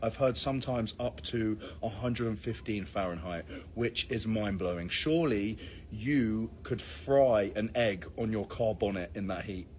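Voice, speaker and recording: Somewhat breathy, the speaker talks at a moderate pace in a British accent with ordinary pitch variation. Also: man, fairly low pitch for a man. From Britain. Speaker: vlogger. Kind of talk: travel vlog.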